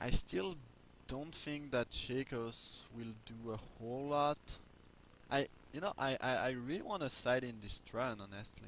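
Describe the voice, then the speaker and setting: A man speaks at a fairly slow pace with a non-native accent. His pitch is medium. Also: ordinary pitch variation. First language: not English. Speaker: video game commentator. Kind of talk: gameplay commentary. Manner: halting, many fillers. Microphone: low volume, poor mic.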